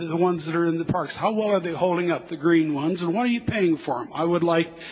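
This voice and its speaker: A man with an American accent speaks in a high pitch with fairly even intonation. Noticeable background noise can be heard. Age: 60s. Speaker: citizen speaking at public hearing. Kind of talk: public comment at council hearing. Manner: halting.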